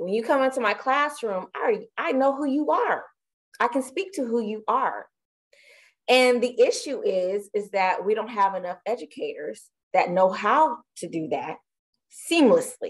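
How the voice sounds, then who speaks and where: With an American accent, a woman talks at a moderate pace in a high pitch that makes very wide swings. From San Francisco Bay Area, later Texas from early 90s. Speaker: school student services coordinator, activist. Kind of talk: casual interview chat. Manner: animated, laughing often.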